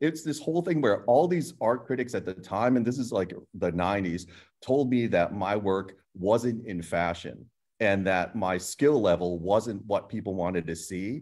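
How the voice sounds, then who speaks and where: A man's fairly low voice, a normal speaking voice with an American accent, lively intonation and a fairly slow pace, over a quiet background. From US (emigrated from Hong Kong at age two). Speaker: painter and art professor; art professor. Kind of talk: group panel discussion. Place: studio. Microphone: video call.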